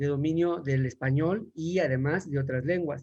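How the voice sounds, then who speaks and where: A somewhat breathy quality runs through this man's voice. He speaks fairly high in pitch at a moderate pace. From Mexico. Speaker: language teacher. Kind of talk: panel talk. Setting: online livestream. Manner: halting.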